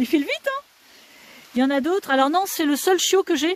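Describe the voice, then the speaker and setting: A woman at a fairly quick pace with ordinary pitch variation, the sound dry and close with no echo. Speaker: dog breeder. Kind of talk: live stream chat. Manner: fast.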